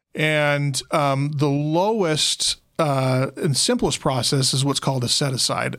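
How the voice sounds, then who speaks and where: In a normal speaking voice with an American accent, a man talks at a fairly slow pace, his fairly high pitch showing ordinary variation and his loudness very even. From Utah (Logan). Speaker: probate attorney. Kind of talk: casual interview.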